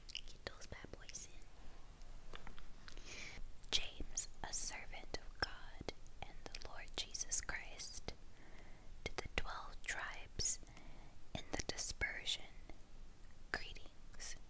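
Very slow whispering from a woman, broken by long, frequent pauses. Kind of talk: Bible reading. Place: home room.

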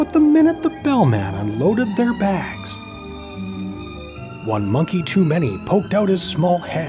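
Fairly slow speech broken by long, frequent pauses, with music in the background. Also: man. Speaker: voice actor and parent narrator of children's books. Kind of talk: children's picture book reading.

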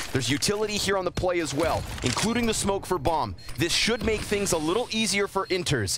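A high-pitched man at a fairly quick pace, lively intonation, noticeable background noise behind him. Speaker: esports caster. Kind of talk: live commentary. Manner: fast talker; excitable.

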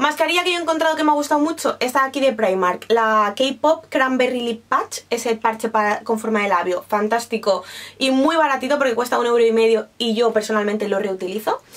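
The voice holds a very even loudness and moves at a fairly quick pace. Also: woman, fairly high pitch for a woman, lively intonation, hardly any pauses. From Spain. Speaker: beauty YouTuber. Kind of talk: product review vlog. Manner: animated. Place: home room.

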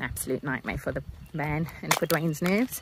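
Through noticeable background noise, a woman with a very deep, low pitch talks at a fairly quick pace in a dry sound with no echo. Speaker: travel vlogger. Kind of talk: casual vlog chat. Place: forest. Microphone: phone near.

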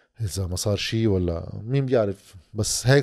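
Against a quiet background, a man speaks at medium pitch with ordinary pitch variation and a dark, mellow tone. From Lebanon. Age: 30s. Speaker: political commentator. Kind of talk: monologue commentary. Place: home room. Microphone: studio mic.

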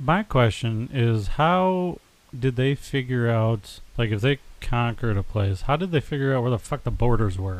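At a moderate pace, the speaker has an unremarkable speaking voice with an American accent. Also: man, medium pitch for a man, lively intonation. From United States. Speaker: podcast co-host. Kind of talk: casual chat.

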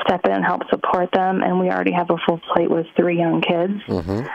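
A woman speaks at a moderate pace, with a dry sound and no echo. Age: 30s. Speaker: caller. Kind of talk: advice call. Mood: worried, earnest. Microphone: phone line.

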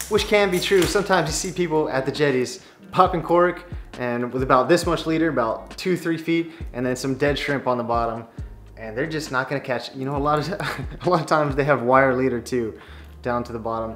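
Faint music plays in the background. A man speaks at a fairly quick pace with ordinary pitch variation. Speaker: fishing video creator. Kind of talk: casual vlog chat. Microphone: camera far.

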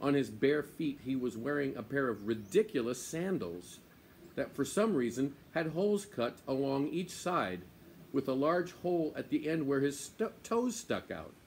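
Swinging very widely in pitch, a man talks at a moderate pace over light background noise. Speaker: storyteller. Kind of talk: read-aloud story narration. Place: garden. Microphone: phone near.

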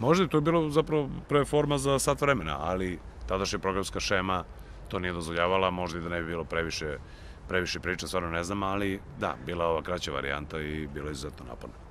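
Over light background noise, a man speaks with a very deep, low pitch. His pitch swings very widely, and the sound is dry with no echo. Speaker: announcer, journalist, TV host, voice actor. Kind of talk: interview answer. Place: garden. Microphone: handheld.

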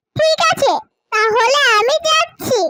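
A woman puts on a squeaky, cartoonish character voice at an extremely high pitch, swinging very widely up and down. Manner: gentle, motherly.

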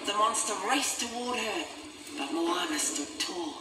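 Slow speech with lively intonation and a bright, sharp tone carries audible room echo.

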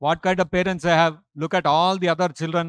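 Over a quiet background, a man with a high-pitched voice talks at a moderate pace, the sound dry with no echo. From India. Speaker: monk lecturer. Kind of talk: lecture. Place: church. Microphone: podium.

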